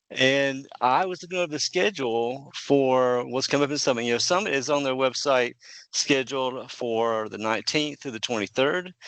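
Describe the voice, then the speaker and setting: Against a quiet background, a man with a Southern accent speaks at a fairly quick pace in a medium pitch with ordinary variation. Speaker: podcast host. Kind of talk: interview podcast.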